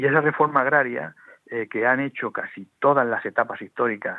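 At a moderate pace, a man with a bright, sharp tone and ordinary pitch variation speaks in a dry, close sound with no echo. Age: 50s. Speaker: lawyer and former mayor, author. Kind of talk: radio interview. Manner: halting, many repetitions.

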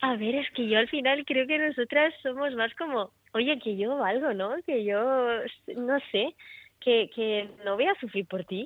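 Her pitch is high and her intonation lively. A woman speaks at a fairly slow pace. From Italy. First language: Italian (speaking Spanish). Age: 20s. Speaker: singer-songwriter. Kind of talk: radio interview.

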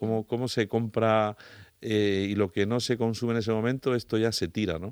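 A normal speaking voice at a moderate pace and fairly even intonation comes through a dry, close, echo-free, very clean recording with a silent background. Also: man. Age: 50s. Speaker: climate change radio contributor. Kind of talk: casual radio interview.

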